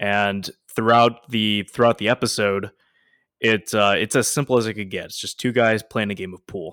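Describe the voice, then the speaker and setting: An ordinary speaking voice, moderately paced, its intonation fairly even. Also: man, fairly low pitch for a man. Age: 20s. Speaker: podcast co-host. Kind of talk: casual chat.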